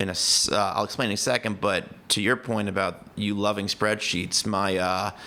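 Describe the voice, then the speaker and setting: A man's fairly low, bright and sharp voice, monotone and flat, at a moderate pace with very even loudness. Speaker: life coach and founder of a planning tool. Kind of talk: podcast interview.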